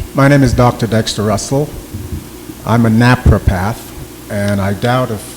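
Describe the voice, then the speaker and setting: A man with a slight Jamaican accent speaks at a medium pitch over noticeable background noise. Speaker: napropath on a panel. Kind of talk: panel talk.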